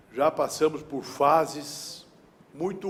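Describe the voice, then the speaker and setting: Very slow speech from a man, set against clearly audible background noise. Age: 60s. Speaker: trade union president. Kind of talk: public speech. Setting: city council chamber. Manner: formal.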